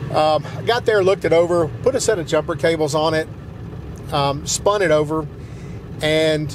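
Someone talks at a moderate pace with ordinary pitch variation, in a dry sound with no echo and noticeable background noise. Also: man. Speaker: channel host. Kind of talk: casual vlog chat. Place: car.

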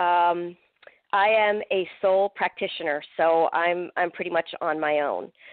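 Fairly low in pitch and with fairly even intonation, a woman with an American accent talks at a fairly slow pace in an ordinary speaking voice. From Pennsylvania, US. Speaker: psychic medium and paranormal investigator. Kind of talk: interview.

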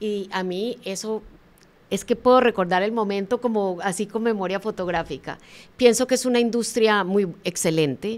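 A normal speaking voice comes through here. It moves at a moderate pace with ordinary pitch variation. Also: woman, medium pitch for a woman. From Colombia. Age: 50s. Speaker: motivational speaker and author. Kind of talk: interview.

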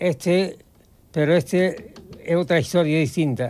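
A high-pitched man speaks at a fairly slow pace. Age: 80s+. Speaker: pianist. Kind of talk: interview answer. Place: home room.

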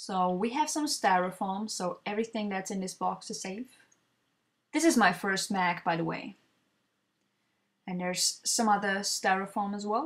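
A woman with a non-native accent speaks at a moderate pace and medium pitch, somewhat breathy, with ordinary pitch variation. She leaves long, frequent pauses, and the recording is very clean with a silent background. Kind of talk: product unboxing voiceover.

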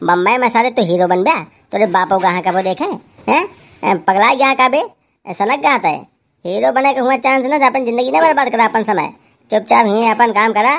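In a cartoonish character voice, a man talks at a fairly quick pace with an extremely high pitch.

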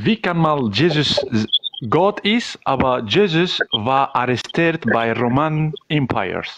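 The speaker goes at a very slow pace with lively intonation and very even loudness. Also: man. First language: not German (speaking German). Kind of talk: call-in question. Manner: halting.

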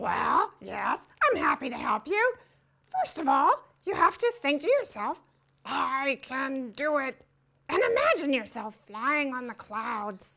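A cartoonish character voice, female-sounding and high-pitched, at a fairly slow pace. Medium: puppet. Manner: warm, encouraging.

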